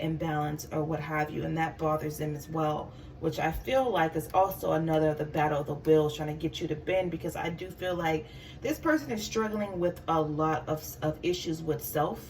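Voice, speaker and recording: A woman with a very deep, low pitch keeps her intonation fairly even. Noticeable background noise can be heard. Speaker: tarot reader. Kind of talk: tarot reading monologue. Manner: halting, stuttering; many filler words.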